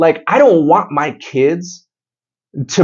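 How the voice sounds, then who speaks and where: Vocal fry runs through this man's fairly high voice. He talks at a very slow pace with lively intonation. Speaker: podcast host. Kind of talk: casual chat. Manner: loud.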